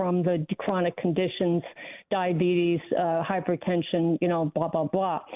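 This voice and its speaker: A woman with an ordinary speaking voice talks at a moderate pace and medium pitch, her intonation fairly even. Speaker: caller. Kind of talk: radio call-in. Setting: phone call.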